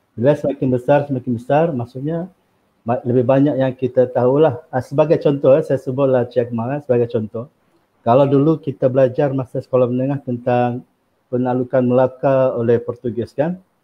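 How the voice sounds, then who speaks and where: Flat, monotone delivery from a man, medium in pitch and fairly quick in pace. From Sabah, Malaysia. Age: 40s. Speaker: university lecturer. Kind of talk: interview about his book. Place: home room. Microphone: video call.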